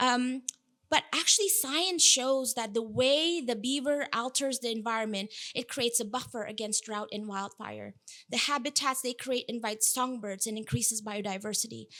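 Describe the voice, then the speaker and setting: In an Indonesian accent, a voice with a bright, sharp tone speaks at a moderate pace with ordinary pitch variation. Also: woman, fairly high pitch for a woman. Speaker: food systems researcher, keynote speaker. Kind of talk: keynote talk.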